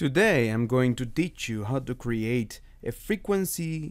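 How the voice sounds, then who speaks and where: Pitch swings very widely as the speaker moves at a very slow pace over a quiet background. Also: man. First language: not English. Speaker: music production tutorial maker; hobbyist music tutor. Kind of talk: tutorial. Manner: halting, with self-corrections. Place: home room. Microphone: webcam.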